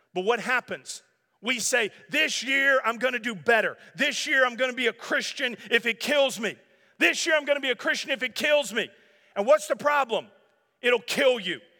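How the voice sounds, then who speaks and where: Raised and projected, this man's voice sits extremely high with a bright, sharp tone. He keeps a moderate pace and ordinary pitch variation. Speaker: pastor. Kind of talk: sermon. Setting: church.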